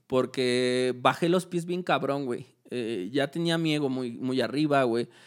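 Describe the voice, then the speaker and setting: On a very clean recording with a silent background, a man speaks at a fairly slow pace in a medium pitch with ordinary pitch variation. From Mexico. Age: 20s. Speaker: graffiti artist and festival decorator. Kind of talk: casual chat. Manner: casual, heavy slang.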